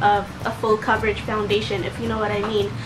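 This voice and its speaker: Clear background noise and an echoing room accompany a rather brisk delivery. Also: woman. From Philippines, Cebu. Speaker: beauty vlogger. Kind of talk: product review tutorial.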